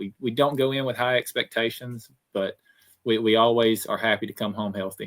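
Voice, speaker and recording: In a Southern US accent, a man talks at a medium pitch and a moderate pace with fairly even intonation. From Alabama. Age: 20s. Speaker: motocross racer. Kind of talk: podcast interview.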